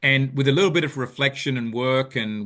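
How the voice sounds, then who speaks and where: A man talks with an Australian accent. His pace is moderate and his pitch variation ordinary. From Australia, Sydney. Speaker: business founder, behavioral finance expert. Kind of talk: interview.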